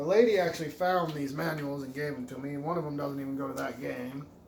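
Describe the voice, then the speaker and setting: Against noticeable background noise and audible room echo, a man with a fairly high pitch talks at a fairly quick pace in fairly even intonation. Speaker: retro game collector YouTuber. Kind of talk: casual video game haul show-and-tell.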